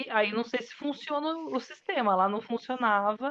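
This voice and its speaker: A woman's ordinary speaking voice, fairly high in pitch, with lively intonation and a fairly slow pace. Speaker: bilingual teacher. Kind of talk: casual interview chat.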